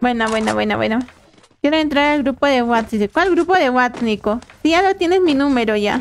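Speaking at a moderate pace, a woman uses a high pitch with ordinary pitch variation.

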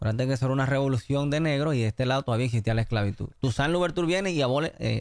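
A man rushes along at a very fast pace with hardly any pauses, very even loudness and ordinary pitch variation, in a dry sound with no echo. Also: medium pitch for a man, quiet background. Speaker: diplomat and history enthusiast; podcast guest. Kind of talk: interview. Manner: halting, many fillers. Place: studio. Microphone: studio mic.

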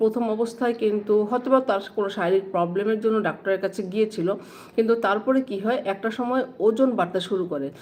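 A woman with a fairly high pitch and ordinary pitch variation speaks against noticeable background noise. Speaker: vlogger and banker. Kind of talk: casual livestream chat.

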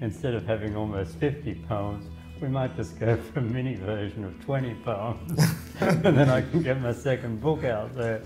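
A man at a moderate pace and fairly low pitch, with clear music in the background. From Australia. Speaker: poet and mediator. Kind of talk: interview answer. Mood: warm, smiling, relaxed. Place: home room.

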